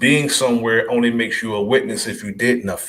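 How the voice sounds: Audible room echo surrounds a fairly bright tone delivered with fairly even intonation. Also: man.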